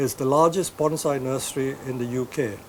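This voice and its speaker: Against noticeable background noise, a man with a fairly high pitch speaks at a moderate pace. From India. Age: 70s. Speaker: bonsai nursery owner. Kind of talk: interview answers.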